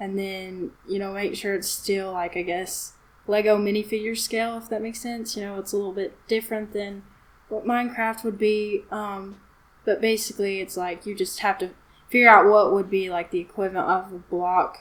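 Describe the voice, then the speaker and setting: A woman speaks at a moderate pace with a medium pitch. Her intonation is flat and monotone, though her loudness swings widely. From US South. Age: 20s. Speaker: hobbyist builder and musician. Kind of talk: casual chat.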